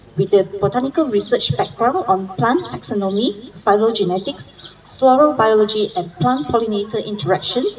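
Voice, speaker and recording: Noticeable background noise behind a woman talking at a moderate pace. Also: hardly any pauses. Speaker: event MC. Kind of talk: formal speaker introduction. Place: garden. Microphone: handheld.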